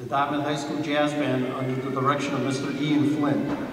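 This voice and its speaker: A man talks at a moderate pace. Noticeable background noise and audible room echo are present. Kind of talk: formal announcement. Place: hall.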